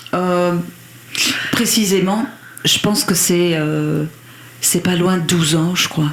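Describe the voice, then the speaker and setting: A woman's fairly low voice at a very slow pace, with long, frequent pauses, very even loudness, ordinary pitch variation and noticeable background noise. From Belgium, Liège region. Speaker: country singer. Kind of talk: radio interview. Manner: halting, hesitant.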